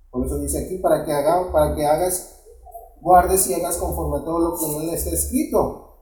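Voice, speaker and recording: This man speaks fairly quickly. Background noise is clearly noticeable. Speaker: preacher. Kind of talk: sermon. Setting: church. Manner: halting, with frequent repetitions and filler words; didactic, pausing to check with 'verdad?'.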